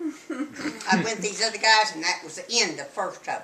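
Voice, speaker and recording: Noticeable background noise sits behind the speaker. The delivery comes at a moderate pace with a Texan accent. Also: woman. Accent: Texan Southern US. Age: 80s+. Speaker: grandmother interviewee. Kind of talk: family interview, reminiscing.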